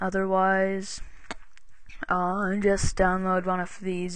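Quiet and flat in a monotone, a woman at a medium pitch talks at a fairly slow pace. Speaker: software tutorial maker. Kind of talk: screen-recorded software tutorial. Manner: casual, hesitant with fillers.

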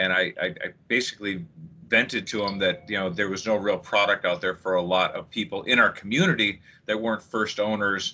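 A man talks in a normal speaking voice. His pitch is fairly low, with ordinary pitch variation. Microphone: video call.

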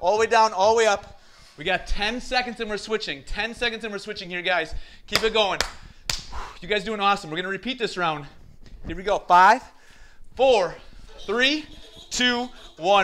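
A man's raised, projected voice at a moderate pace, with big swings in loudness and long, frequent pauses. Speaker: fitness instructor. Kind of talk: workout instruction. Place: empty room.

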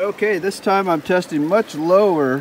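The recording is dry with no echo and light background noise as a man talks with ordinary pitch variation. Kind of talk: casual vlog chat. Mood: cheerful, mildly annoyed at graffiti. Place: waterside. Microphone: phone near.

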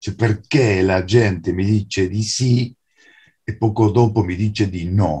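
Over a quiet background, a man speaks at a very slow pace in a fairly low, somewhat breathy voice with a dark, mellow tone and ordinary pitch variation. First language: Spanish (speaking Italian). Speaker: writer and translator; guest. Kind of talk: lecture. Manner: halting. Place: home room. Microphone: video call.

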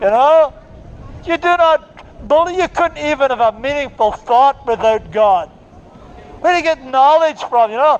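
Loud and lively in intonation, a man speaks at an extremely high pitch and a fairly slow pace. Crowd noise sits in the background. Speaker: street preacher. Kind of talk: open-air street preaching to passers-by. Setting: outdoors in a city street. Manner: loud, forceful, argumentative. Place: street.

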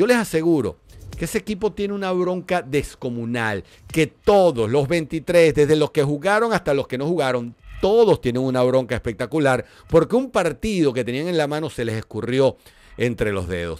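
A man with a fairly high, animated voice swings very widely in pitch while keeping a moderate pace. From Venezuela. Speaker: football pundit. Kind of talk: solo commentary video. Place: studio. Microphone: studio mic.

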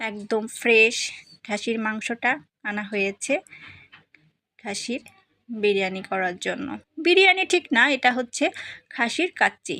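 A woman's fairly high voice has a bright, sharp tone and very wide pitch swings, recorded dry and close with no echo. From Bangladesh, Narail (Lohagara). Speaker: vlogger. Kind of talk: vlog narration. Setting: at family home.

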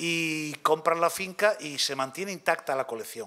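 This man's voice sits at a fairly high pitch with a bright, sharp tone, ordinary pitch variation and a fairly slow pace. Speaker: archaeology professor. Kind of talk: lecture.

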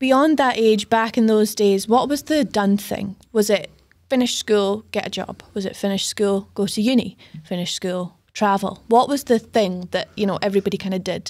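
In a Scottish accent, a woman with a fairly high pitch talks at a moderate pace with ordinary pitch variation. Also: quiet background. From Scotland. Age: 30s. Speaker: podcast host. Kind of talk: casual interview. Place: studio. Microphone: studio mic.

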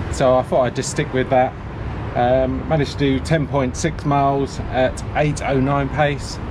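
With noticeable background noise behind him, a man talks at a fairly slow pace with fairly even intonation. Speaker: running vlogger. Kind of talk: casual vlog chat. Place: garden. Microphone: phone near.

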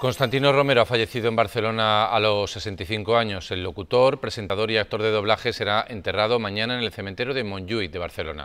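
Faint music plays behind a man who talks very fast with hardly any pauses, his fairly low voice showing ordinary pitch variation. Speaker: news anchor. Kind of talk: TV news read. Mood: sober, formal. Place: studio. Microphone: lapel.

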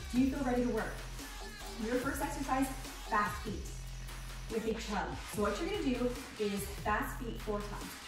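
Clear music in the background and audible room echo accompany a woman speaking. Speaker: fitness instructor. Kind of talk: workout instruction. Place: gym.

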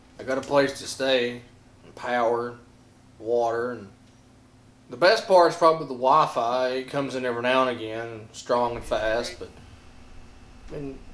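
Long, frequent pauses break up a man's speech, delivered at a moderate pace with fairly even intonation. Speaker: comic mockumentary character. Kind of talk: mock interview confession. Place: home room.

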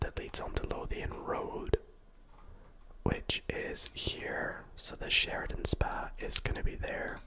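A man whispers at a very slow pace. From Scotland. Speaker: ASMR gaming video creator. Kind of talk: soft-spoken gameplay commentary. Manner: soft-spoken, ASMR style; casual, chatty commentary. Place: home room. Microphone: studio mic.

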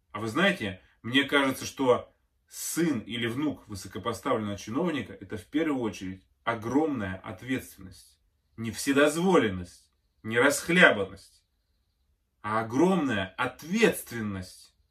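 A man's bright, sharp voice at a fairly slow pace, with lively intonation and big swings in loudness over a quiet background. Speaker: video blogger. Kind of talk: opinion commentary to camera. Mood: indignant, earnest. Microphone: phone near.

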